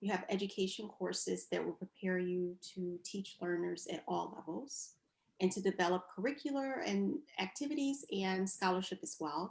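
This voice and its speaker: A woman with a medium pitch and a somewhat breathy voice talks at a moderate pace with lively intonation. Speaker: physical therapist. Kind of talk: interview answer.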